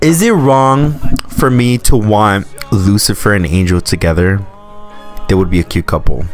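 Faint music plays in the background of a dry recording with no echo. A man talks at a fairly low pitch. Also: moderate pace. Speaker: reaction youtuber. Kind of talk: casual vlog chat, show review. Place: home room. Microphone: studio mic.

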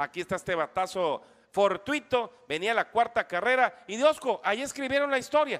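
This man's voice sits high in pitch, with lively intonation. He talks at a moderate pace. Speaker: sports broadcaster. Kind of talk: live sports commentary, baseball game recap. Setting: radio broadcast.

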